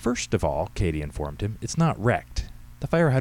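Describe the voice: Just plain reading aloud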